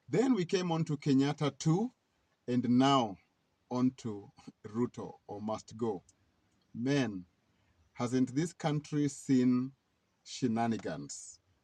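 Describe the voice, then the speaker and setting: A man with a dark, mellow tone and medium pitch speaks at a very slow pace, leaving long, frequent pauses. His pitch variation is ordinary, and the sound is dry and close with no echo. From Kenya. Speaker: political commentator. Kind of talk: weekly news commentary.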